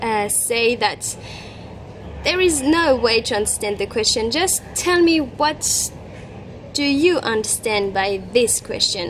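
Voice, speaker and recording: Over noticeable background noise, a woman with a French accent and a high pitch speaks at a very slow pace with lively intonation. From France. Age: 20s. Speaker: travel vlogger. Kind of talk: casual interview. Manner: halting.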